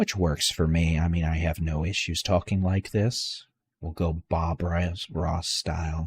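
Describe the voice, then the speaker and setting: Soft-spoken and somewhat breathy, a man speaks fairly slowly in a very deep, low pitch with monotone, flat intonation, captured in a very clean recording with a silent background and a dry, close sound with no echo. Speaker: weather livestream host. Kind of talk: live severe weather coverage. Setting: late night livestream. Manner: very quiet voice.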